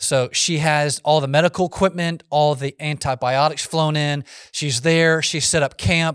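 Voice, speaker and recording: A man speaks with an ordinary speaking voice, fairly high in pitch, at a moderate pace. The recording is very clean, with a silent background and a dry, close sound with no echo. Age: 40s. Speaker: pastor. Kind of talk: Q&A talk to youth group. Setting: room with live youth audience.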